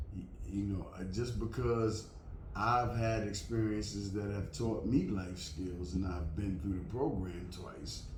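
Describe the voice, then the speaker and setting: Amid audible room echo, a man with a fairly low pitch and ordinary pitch variation talks at a fairly slow pace. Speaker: vlogger. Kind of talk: casual monologue to camera. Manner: loud; halting. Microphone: last video was too quiet.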